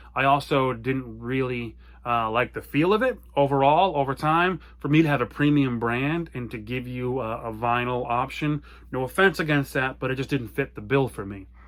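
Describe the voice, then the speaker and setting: At a moderate pace, a man with an American accent speaks with ordinary pitch variation. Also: very clean recording, silent background. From US small town. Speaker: apparel brand owner. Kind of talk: personal story monologue. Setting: home basement office. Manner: loud; animated.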